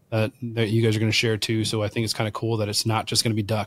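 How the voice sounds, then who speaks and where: A somewhat breathy man with a medium pitch and a Californian accent, speaking at a very fast pace on a very clean recording with a silent background. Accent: Californian American. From Southern California. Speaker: wild game chef. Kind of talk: podcast interview.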